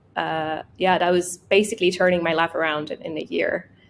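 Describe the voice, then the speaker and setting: This woman speaks with a Russian accent. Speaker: product designer. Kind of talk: interview. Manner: halting.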